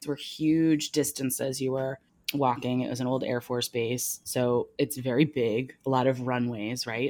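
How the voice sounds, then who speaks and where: On a very clean recording with a silent background, a woman speaks at a moderate pace with a very deep, low pitch and fairly even intonation. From New Jersey. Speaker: television producer. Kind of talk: casual chat. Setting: apartment, on location.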